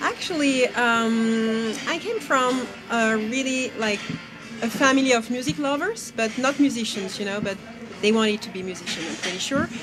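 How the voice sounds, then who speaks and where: With music in the background, a woman with a French accent speaks at a fairly high pitch with ordinary pitch variation. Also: moderate pace. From France. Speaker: singer and flutist. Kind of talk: interview answer.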